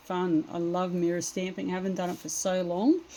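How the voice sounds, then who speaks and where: A woman is speaking at a moderate pace. Her voice has a dark, mellow tone. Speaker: craft demonstrator. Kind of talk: tutorial. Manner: casual, hesitant with fillers.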